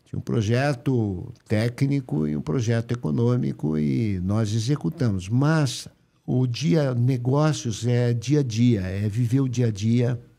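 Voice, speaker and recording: A man's dark, mellow voice at a very slow pace, with lively intonation and hardly any pauses. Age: 70s. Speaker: company founder; podcast guest. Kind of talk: interview. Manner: halting. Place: studio. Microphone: studio mic.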